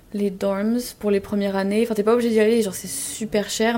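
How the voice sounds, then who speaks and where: Against noticeable background noise, a woman talks at a fairly quick pace. Her medium-pitched voice stays monotone and flat in intonation. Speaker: university student. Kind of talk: casual chat.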